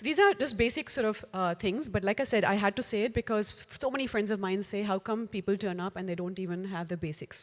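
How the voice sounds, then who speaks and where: Very fast with hardly any pauses, a woman talks at a medium pitch with ordinary pitch variation. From India, Uttar Pradesh (Unnao). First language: Hindi. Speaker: finance professional, speaker. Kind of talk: talk to an audience. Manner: conversational, many fillers.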